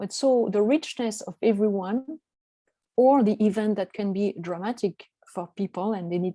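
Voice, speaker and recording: In a dry, close recording with no echo, a woman of medium pitch speaks fairly slowly in a dark, mellow tone with ordinary pitch variation. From France. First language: French. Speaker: coach. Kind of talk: online presentation. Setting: video call. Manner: halting, many fillers.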